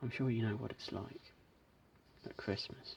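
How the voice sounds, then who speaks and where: Soft-spoken and flat in intonation, a man talks at a moderate pace. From British. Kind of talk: ASMR unboxing chat.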